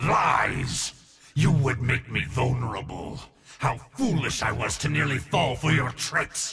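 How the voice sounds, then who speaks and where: A man at a medium pitch uses a put-on character voice and talks at a fairly slow pace. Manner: hissing; suspicious and defensive.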